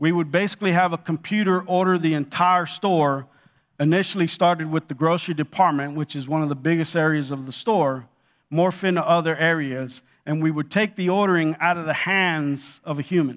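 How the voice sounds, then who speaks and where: A man with an American accent at a fairly quick pace and fairly even intonation, on a very clean recording with a silent background. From Los Angeles, California. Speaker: retail executive sharing his story at church. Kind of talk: testimony. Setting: church.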